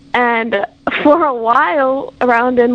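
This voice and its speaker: A woman speaks in a high voice against noticeable background noise. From Hawaii, Big Island. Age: 20s. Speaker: university student. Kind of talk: interview.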